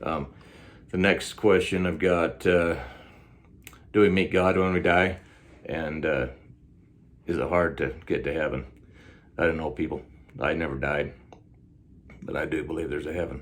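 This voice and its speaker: With vocal fry, a man speaks in a very deep, low pitch at a moderate pace, with ordinary pitch variation. His long, frequent pauses are heard with audible room echo. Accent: American. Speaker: self-styled time traveler vlogger. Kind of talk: casual Q&A monologue. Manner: hesitant, many fillers.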